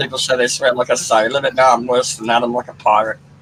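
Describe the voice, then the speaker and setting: A man's medium-pitched voice carries through noticeable background noise. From Australia. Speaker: livestream commentator. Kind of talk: casual chat.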